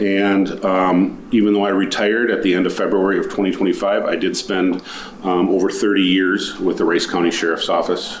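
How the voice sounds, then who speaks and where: With an Upper Midwest accent, a man talks at a fairly quick pace and very even loudness, with noticeable background noise and audible room echo. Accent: Upper Midwest American. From Minnesota. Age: 50s. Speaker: county commissioner candidate, retired sheriff's deputy. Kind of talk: candidate interview statement. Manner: hesitant, with many fillers.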